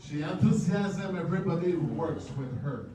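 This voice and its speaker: A man's fairly high voice in a strong French accent, with lively intonation at a fairly slow pace, audible room echo and noticeable background noise. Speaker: boxing promoter. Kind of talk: press conference speech. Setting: press conference.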